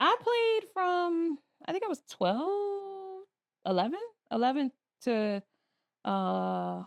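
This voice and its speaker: A woman speaks at an extremely high pitch with very wide pitch swings. Her pace is very slow, with long, frequent pauses. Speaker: education business founder. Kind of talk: casual interview chat.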